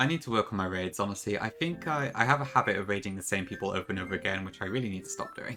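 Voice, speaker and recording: Over music in the background, a man with a fairly low voice talks at a very fast pace with hardly any pauses and lively intonation. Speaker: streamer and rom hack creator. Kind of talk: casual live stream chat. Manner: fast at times.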